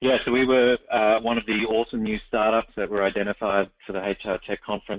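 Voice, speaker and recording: In an Australian accent, a man speaks fairly quickly in a fairly low, monotone, flat voice. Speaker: startup CEO. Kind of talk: webinar interview. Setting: webinar call.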